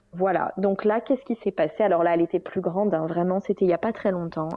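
Medium-pitched woman's voice with ordinary pitch variation. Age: 30s. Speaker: general practitioner and breastfeeding mother. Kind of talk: interview testimony. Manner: hesitant, many fillers.

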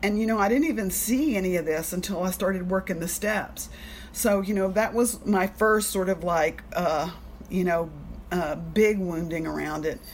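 In a normal speaking voice, a woman talks at a moderate pace, her medium pitch showing ordinary variation. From Alabama, US South. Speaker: recovery meeting speaker sharing her story. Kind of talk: personal testimony. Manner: casual, filler-heavy.

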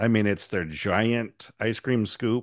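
A man with an American accent, an unremarkable speaking voice, fairly low pitch and a fairly slow pace, against a quiet background. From US Pacific Northwest, Astoria, Oregon. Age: 50s. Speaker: woodturner, podcast co-host. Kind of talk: casual chat.

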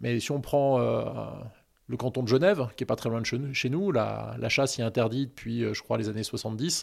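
A man at a fairly quick pace on a very clean recording with a silent background. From Annecy, Haute-Savoie, France. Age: 40s. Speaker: hiker and anti-hunting association president. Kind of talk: interview. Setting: outdoors, forest walk.

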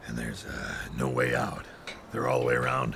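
A man uses a put-on character voice with a very deep, low pitch. He talks at a fairly quick pace over clear background noise. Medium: audio drama. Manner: blunt, terse.

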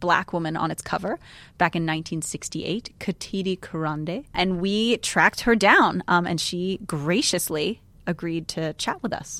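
A woman's fairly low voice with ordinary pitch variation, a plain, everyday voice. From New York. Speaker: podcast host. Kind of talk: casual chat. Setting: studio.

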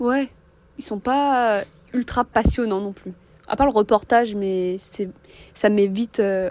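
A woman with a fairly high pitch speaks at a very slow pace, with ordinary pitch variation and long, frequent pauses, on a very clean recording with a silent background. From France. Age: young. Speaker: student. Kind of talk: casual chat.

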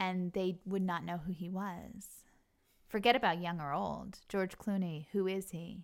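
A woman with an American accent has an unremarkable speaking voice at a medium pitch. She speaks at a fairly slow pace with fairly even intonation. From US Northeast, Long Island. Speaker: actress and show creator. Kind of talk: casual chat. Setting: host's home.

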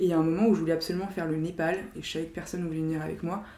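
The speaker's fairly even intonation comes through with audible room echo. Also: woman. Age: 20s. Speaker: strategy consultant. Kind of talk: casual chat.

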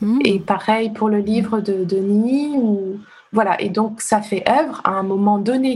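Fairly high in pitch and somewhat breathy, a woman speaks at a fairly slow pace with fairly even intonation. Her loudness stays very even, and audible room echo surrounds her. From Benin (Ouidah, Cotonou). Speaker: literary translator. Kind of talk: casual interview.

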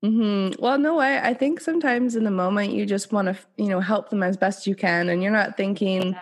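A woman with a medium pitch talks at a very fast pace with hardly any pauses and lively intonation. Her loudness stays very even against a quiet background. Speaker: podcast host. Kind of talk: casual podcast interview. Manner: upbeat.

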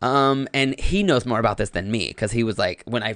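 A man with an American accent. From US South, North Carolina. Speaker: actor and comedian. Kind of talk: casual chat.

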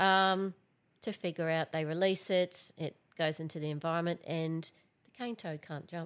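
In a strong Australian accent, a woman speaks with a fairly low pitch and fairly even intonation. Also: moderate pace, very clean recording, silent background. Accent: broad Australian. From Central Queensland, Australia. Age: 40s. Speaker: environmental scientist. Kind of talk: casual chat.

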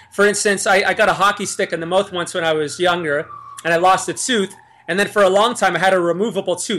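A man talks at a very fast pace in a high voice, his intonation fairly even. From Niagara Falls, Ontario, Canada. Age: 40s. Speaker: YouTube musician and vegan activist. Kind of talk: casual interview.

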